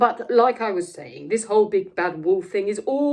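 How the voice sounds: Here, text is read in a natural voice.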